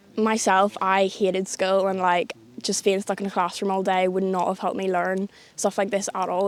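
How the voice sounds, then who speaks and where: A woman speaks at a fairly quick pace in a medium-pitched voice. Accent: Northern Irish. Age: young. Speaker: conservation volunteer. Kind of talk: interview.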